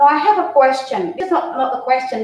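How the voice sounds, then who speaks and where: Audible room echo surrounds a woman with an Indonesian accent whose intonation is lively. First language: not English. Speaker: university lecturer. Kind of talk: webinar talk. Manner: halting, many fillers.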